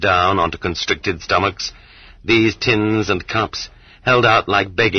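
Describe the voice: Text read aloud plainly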